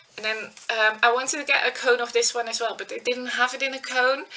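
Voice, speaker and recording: With noticeable background noise behind her, a woman speaks in a high pitch with a Dutch accent. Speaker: knitting podcaster. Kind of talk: casual vlog chat. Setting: webcam recording at home.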